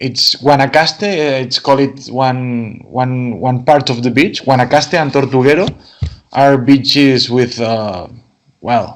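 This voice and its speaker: A man speaks with a Spanish accent at a fairly slow pace. His pitch sits in the medium range. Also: ordinary pitch variation. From Catalonia, Spain. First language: Spanish or Catalan. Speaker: wine export manager. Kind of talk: interview. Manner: halting, repetitive.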